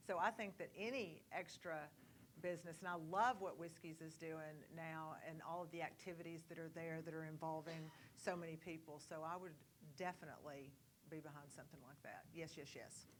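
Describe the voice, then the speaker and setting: A woman speaks with an East Texas accent. Her pitch is fairly low and her pace moderate. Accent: East Texas Southern. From East Texas, Kilgore. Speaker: board candidate. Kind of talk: candidate forum answer.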